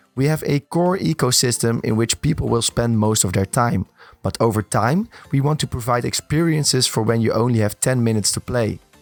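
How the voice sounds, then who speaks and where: A man's medium-pitched voice at a moderate pace, with ordinary pitch variation, a dry, close sound with no echo, and music in the background. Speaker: gaming content creator. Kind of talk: gaming news narration.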